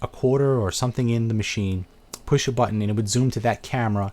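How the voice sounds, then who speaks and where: With a Brooklyn accent, a man talks at a fairly quick pace in fairly even intonation. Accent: Brooklyn New York. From Brooklyn, New York. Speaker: video game reviewer and channel host. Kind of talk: casual live video chat answering viewer questions. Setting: live webcam video stream.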